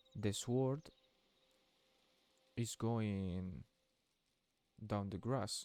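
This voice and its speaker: A man with a non-native accent speaks at a very slow pace, leaving long, frequent pauses. His fairly low pitch carries a dark, mellow tone. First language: Spanish. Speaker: gaming youtuber. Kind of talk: tutorial. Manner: halting.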